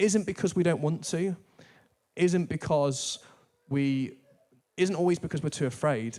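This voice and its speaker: In a northern English accent, a man talks at a moderate pace. His pitch is high, with ordinary pitch variation. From northern England. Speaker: church staff preacher. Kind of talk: sermon. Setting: church.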